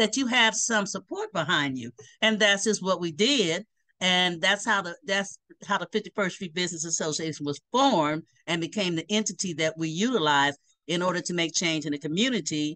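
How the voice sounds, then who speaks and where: Lively intonation marks this woman's speech. She keeps a moderate pace over a quiet background. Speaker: remote interview guest. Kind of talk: interview answer. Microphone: video call.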